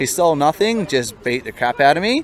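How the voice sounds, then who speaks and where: A man with an Australian accent at a fairly quick pace, the sound dry with no echo. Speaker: solo traveller. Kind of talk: interview answer. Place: street. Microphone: handheld.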